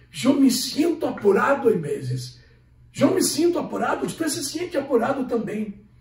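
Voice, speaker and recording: With audible room echo around him, a man speaks at a moderate pace in an extremely high pitch with lively intonation. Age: 60s. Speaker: pastor. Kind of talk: sermon.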